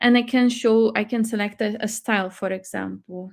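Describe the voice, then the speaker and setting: Speaking at a fairly slow pace, a woman uses fairly even intonation in a fairly high pitch. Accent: Portuguese. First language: Portuguese. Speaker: AI tool presenter. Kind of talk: live webinar tutorial. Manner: halting, many fillers.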